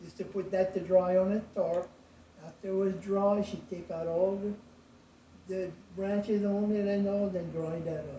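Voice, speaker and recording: Talking fairly slowly, a man with a high, flat, monotone voice shows big swings in loudness. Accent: Cajun. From US South, rural Lafourche Parish, Louisiana. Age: 80s+. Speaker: retired shrimper and craftsman. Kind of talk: family interview storytelling.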